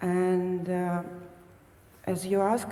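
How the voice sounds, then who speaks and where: A woman speaks with a non-native accent. Noticeable background noise and audible room echo are present. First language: not English. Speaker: retreat participant. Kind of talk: question to a teacher. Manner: halting, many fillers.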